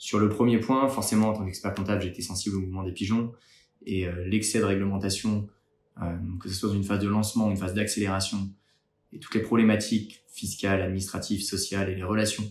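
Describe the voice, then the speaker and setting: A fairly low-pitched man, very fast and somewhat breathy, in a monotone, flat intonation. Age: 30s. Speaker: startup founder and accountant. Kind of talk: candidacy pitch video. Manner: hesitant with frequent fillers.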